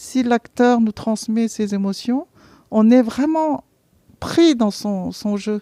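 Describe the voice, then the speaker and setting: This woman has a fairly high pitch and a dark, mellow tone, recorded with a dry, close sound and no echo. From Vietnam. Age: 60s. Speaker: theatre programme participant. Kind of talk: interview testimony. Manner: hesitant, many fillers and repetitions.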